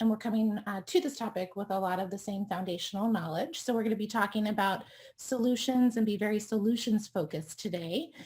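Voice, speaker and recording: With an American accent, the speaker's animated, somewhat breathy delivery races at a very fast pace with hardly any pauses and ordinary pitch variation. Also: woman, fairly high pitch for a woman. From US East Coast. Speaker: doctor treating chronic illness. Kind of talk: expert talk presentation.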